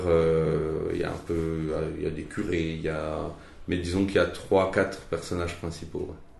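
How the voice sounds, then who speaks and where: A man speaks very slowly in a very deep, low voice with monotone, flat intonation. Audible room echo surrounds him. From Franche-Comté, eastern France. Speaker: novelist. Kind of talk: interview. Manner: halting.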